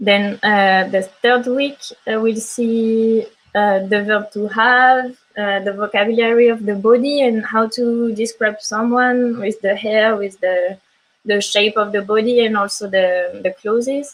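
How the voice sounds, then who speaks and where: A woman with a fairly high pitch and a French accent speaks at a fairly slow pace with fairly even intonation. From France. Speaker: language teacher. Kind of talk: online class. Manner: halting.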